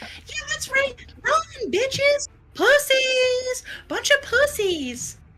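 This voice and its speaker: A put-on character voice with an extremely high pitch moves along at a very slow pace. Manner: aggressive, taunting.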